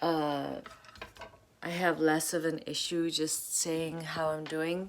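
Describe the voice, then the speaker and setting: Very slow speech with fairly even intonation comes through over noticeable background noise. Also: woman. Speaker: vlogger. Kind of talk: personal vlog talk to camera. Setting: at home while cooking. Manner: hesitant, many fillers and restarts.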